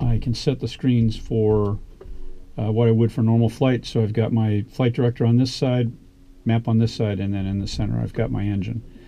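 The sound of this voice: A man's fairly low voice, dark and mellow in tone, with vocal fry and fairly even intonation. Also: moderate pace.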